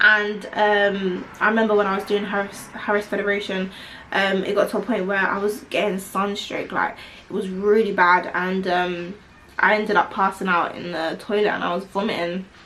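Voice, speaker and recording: A woman in a London accent speaks at medium pitch and a moderate pace with monotone, flat intonation, amid noticeable background noise and audible room echo. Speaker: vlogger. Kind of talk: casual chat.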